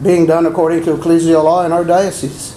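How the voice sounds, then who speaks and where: At a moderate pace, a man speaks with a high pitch and monotone, flat intonation. The recording carries audible room echo and noticeable background noise. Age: 60s. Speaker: abuse survivor and deacon candidate. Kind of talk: press conference statement.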